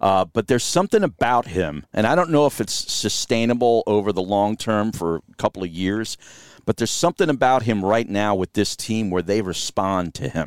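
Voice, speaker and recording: A man with a normal speaking voice, fairly low in pitch, at a moderate pace with lively intonation, on a very clean recording with a silent background and a dry, close sound with no echo. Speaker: radio host. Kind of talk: casual interview chat. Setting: in a van outdoors.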